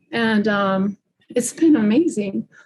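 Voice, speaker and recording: A somewhat breathy woman's voice at a fairly slow pace. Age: 60s. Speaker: fascia practitioner and gymnast. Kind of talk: casual chat.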